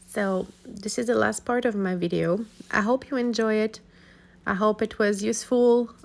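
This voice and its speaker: A woman speaks with a non-native accent. Her intonation stays fairly even. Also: fairly high pitch for a woman, moderate pace. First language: not English. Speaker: art YouTuber. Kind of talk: casual tutorial outro. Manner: halting.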